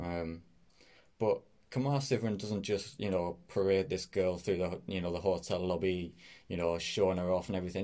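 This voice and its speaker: The voice has a Teesside accent and a dark, mellow tone, with ordinary pitch variation. The recording is very clean, and the background is silent. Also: man. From northeast England, Middlesbrough. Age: 20s. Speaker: podcast host. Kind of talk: casual solo podcast talk. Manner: hesitant, many fillers.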